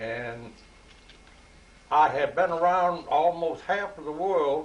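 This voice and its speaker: The speaker has a Louisiana accent. The pace is very slow, with ordinary pitch variation. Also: man, high pitch for a man. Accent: Louisiana Southern. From US South. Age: 80s+. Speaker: retired Navy veteran. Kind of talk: casual chat.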